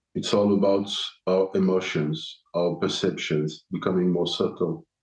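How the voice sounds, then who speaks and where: A man with a non-native accent speaks at a fairly slow pace. His very deep, low voice keeps a fairly even intonation. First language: German. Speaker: podcast host. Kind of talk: solo podcast answering listener questions. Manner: halting, many fillers and restarts.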